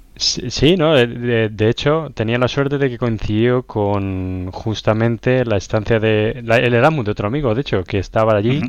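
A normal speaking voice from a man at a medium pitch, with ordinary pitch variation and hardly any pauses. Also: moderate pace. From Spain, La Roda, Albacete (Castilla-La Mancha). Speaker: software consultant. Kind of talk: casual interview.

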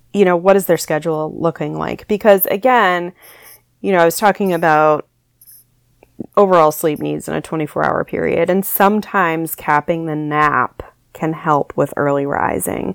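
A plain, everyday voice: a woman with a fairly low pitch and ordinary pitch variation at a fairly slow pace, in a very clean recording with a silent background and a dry, close sound with no echo. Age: 30s. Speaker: sleep consultant. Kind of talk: casual chat.

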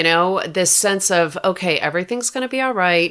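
Her intonation lively and her pitch medium, a woman talks in an unremarkable speaking voice. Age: 50s. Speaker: author. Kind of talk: interview.

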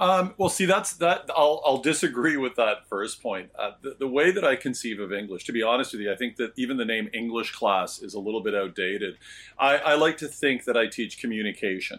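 A normal speaking voice from a man with a Canadian accent, medium in pitch, with lively intonation, a fairly quick pace and hardly any pauses. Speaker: high school English teacher. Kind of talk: casual interview chat.

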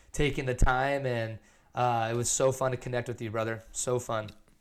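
A man's medium-pitched, monotone, flat delivery at a fairly quick pace, in a very clean recording with a silent background. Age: 20s. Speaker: former athlete and creative. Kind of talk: casual chat.

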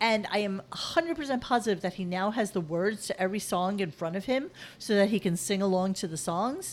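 A woman speaks at a fairly quick pace with lively intonation. Her pitch is medium. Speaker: podcast host from another show. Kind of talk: casual chat. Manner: fidgety.

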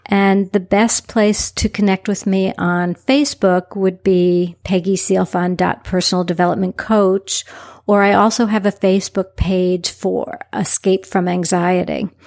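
In a very clean recording with a silent background and a dry, close sound with no echo, a woman with a plain, everyday voice speaks at a fairly slow pace, medium pitch, very even loudness and fairly even intonation. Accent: American. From New York City. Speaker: personal development coach. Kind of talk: interview.

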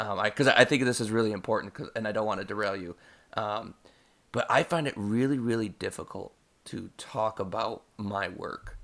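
A plain, everyday voice from a man, fairly low in pitch, with ordinary pitch variation at a moderate pace, in a very clean recording against a silent background. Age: 30s. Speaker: podcast host and English teacher. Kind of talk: casual chat.

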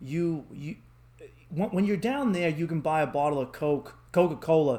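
A man with a Boston accent speaks at a fairly high pitch with a slightly mellow tone.

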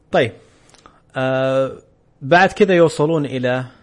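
The speaker is a man with a Saudi accent. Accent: Saudi Gulf Arabic. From Saudi Arabia, Eastern Province (Khobar). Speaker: podcast host. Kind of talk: casual chat.

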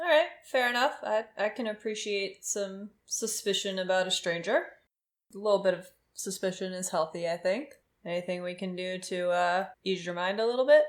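In a very clean recording with a silent background, a woman speaks in an ordinary speaking voice at medium pitch and a moderate pace, with ordinary pitch variation. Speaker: tabletop role-playing game player. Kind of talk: tabletop role-play session, casual.

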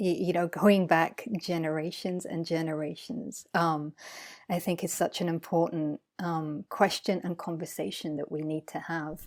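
In a very clean recording with a silent background, a woman speaks at a fairly low pitch and fairly slow pace, with ordinary pitch variation and a calm, relaxed tone. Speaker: scientist and coach. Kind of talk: casual interview. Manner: hesitant with fillers.

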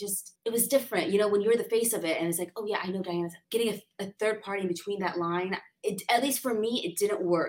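The speaker rushes along very fast with hardly any pauses, in a Californian accent with ordinary pitch variation. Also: woman, medium pitch for a woman. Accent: Californian American English. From San Diego, California. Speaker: lawyer. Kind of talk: interview.

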